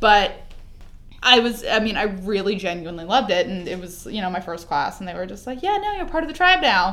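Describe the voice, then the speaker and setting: Speaking fairly quickly in a Californian accent, a woman with a medium pitch uses lively intonation and big swings in loudness, with audible room echo and noticeable background noise. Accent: Californian American. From Los Angeles. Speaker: entertainment editor. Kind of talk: casual chat.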